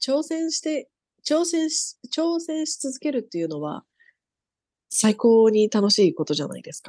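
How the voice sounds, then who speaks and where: A woman with a high, dark, mellow voice speaks at a moderate pace with very wide pitch swings and big swings in loudness, recorded dry and close with no echo against a quiet background. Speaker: police officer. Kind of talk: interview.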